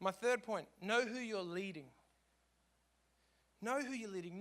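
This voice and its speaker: With an Australian accent, a man speaks in a high pitch. His tone is animated. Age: 30s. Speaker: worship leader. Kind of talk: conference talk.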